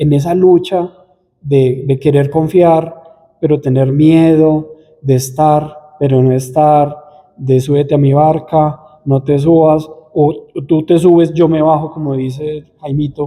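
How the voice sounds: In a dark, mellow tone and a fairly high pitch, a man speaks slowly with fairly even intonation and few pauses.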